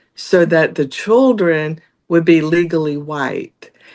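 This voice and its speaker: Talking at a very slow pace with a slight Southern US accent, the speaker uses ordinary pitch variation against a quiet background. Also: woman. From US South. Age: 60s. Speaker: judicial candidate, lawyer. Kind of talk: interview.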